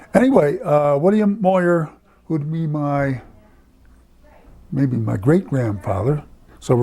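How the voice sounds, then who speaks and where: The speaker's somewhat breathy voice, dark and mellow in tone, moves at a fairly slow pace with lively intonation and long, frequent pauses. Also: man. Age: 90s. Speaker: family elder recalling history. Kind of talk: oral history interview. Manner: halting.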